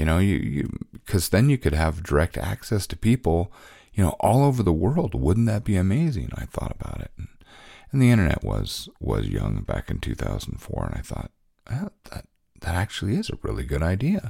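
On a very clean recording with a silent background, a man with a very deep, low pitch and a dark, mellow tone speaks at a moderate pace with vocal fry and very wide pitch swings. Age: 50s. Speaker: podcast host, cartoonist and fiction writer. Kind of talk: casual solo monologue. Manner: halting, many fillers.

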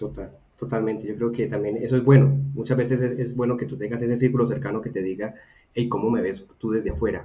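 Speaking at a very fast pace, a man with a medium pitch sounds somewhat breathy, with audible room echo. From Colombia, Buga (Valle del Cauca). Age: 30s. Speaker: design academy co-founder and product manager. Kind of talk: casual interview chat.

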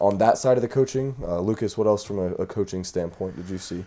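Speaking at a fairly quick pace, a man uses a fairly low pitch with ordinary pitch variation and a dark, mellow tone. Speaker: podcast co-host. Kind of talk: casual sports podcast discussion.

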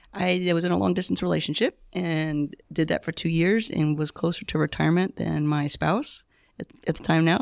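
A woman with an unremarkable speaking voice talks at a fairly low pitch and a moderate pace, with hardly any pauses and ordinary pitch variation. The very clean recording has a dry, close sound with no echo and a silent background. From US South. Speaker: retired teacher and nonprofit founder. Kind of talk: interview.

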